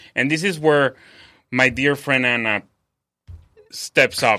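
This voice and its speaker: Speaking fairly slowly with a Spanish accent, a man uses a medium pitch and a bright, sharp tone. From Mexico City. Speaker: chef. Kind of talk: interview. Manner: halting, many fillers.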